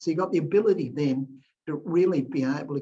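Somewhat breathy, a man with an Australian accent speaks at a fairly high pitch with ordinary pitch variation. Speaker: philanthropist and entrepreneur. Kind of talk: interview answers.

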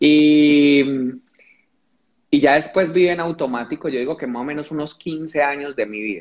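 Male speech, fairly high in pitch, with ordinary pitch variation. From Colombia, Pereira (coffee region). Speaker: motivational speaker. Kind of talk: livestream conversation. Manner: repetitive, halting.

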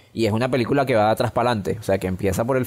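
A man at medium pitch. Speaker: film podcast co-host. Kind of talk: casual chat. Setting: recording from home during quarantine.

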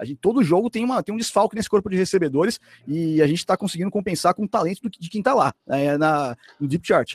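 Speaking very fast with lively intonation, a man uses a high pitch. The recording is very clean with a silent background and a dry, close sound with no echo. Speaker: sports commentator. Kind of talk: casual chat.

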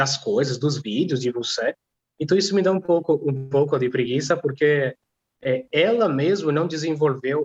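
A man with a non-native accent speaks at a moderate pace, fairly high in pitch and somewhat breathy. His pitch variation is ordinary and his loudness very even. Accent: noticeable foreign accent in Portuguese. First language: not Portuguese (speaking Portuguese). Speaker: polyglot language teacher and stripper. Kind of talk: casual chat. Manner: halting.

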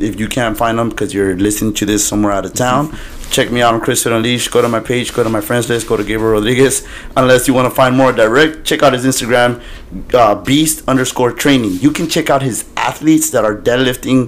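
A man speaks at a very fast pace with a medium pitch and fairly even intonation. Noticeable background noise sits behind him. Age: 30s. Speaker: podcast host and bodybuilder trainer. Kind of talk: casual interview.

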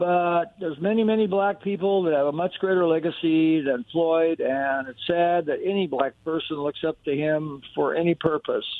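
A man talks with a high pitch and ordinary pitch variation, keeping a moderate pace. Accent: American. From US Pacific Northwest. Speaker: radio caller. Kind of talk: opinionated call-in. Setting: phone call.

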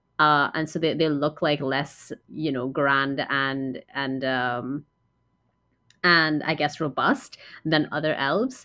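The speech comes at a very slow pace with a flat, monotone intonation. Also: woman, very deep, low pitch for a woman. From Trinidad. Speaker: podcast co-host. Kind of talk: casual chat.

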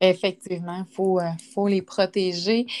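A woman speaks at a fairly slow pace. The recording is very clean and dry, close with no echo, over a silent background. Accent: Quebec. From Quebec, Quebec City region. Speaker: podcast host, fitness instructor. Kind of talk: casual interview.

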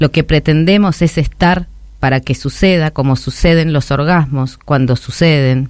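A woman speaks with a Rioplatense accent at a fairly slow pace. Her pitch varies in an ordinary way. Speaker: radio host. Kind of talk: scripted editorial.

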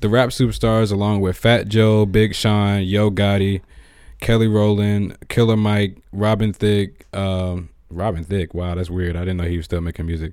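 A man talks at a moderate pace with fairly even intonation and a fairly low pitch. It is an ordinary speaking voice. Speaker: podcast host. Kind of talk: casual interview chat.

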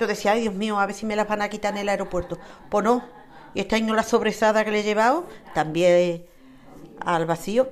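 A woman with an Andalusian accent and ordinary pitch variation. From Andalusia, Spain. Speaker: interviewee, local resident. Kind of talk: casual interview. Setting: home terrace.

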